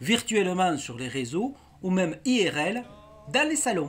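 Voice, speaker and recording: A man's high voice in a southern French accent, very slow, with very wide pitch swings. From southern France. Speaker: YouTuber. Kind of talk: farewell video monologue.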